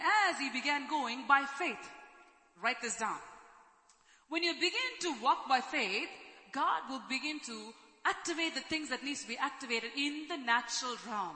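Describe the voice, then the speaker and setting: With noticeable background noise, the speech moves at a moderate pace, broken by long, frequent pauses. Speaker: preacher. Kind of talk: sermon with prayer and worship. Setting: church service, streamed online. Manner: fervent, repetitive, exhortative, with frequent hallelujahs.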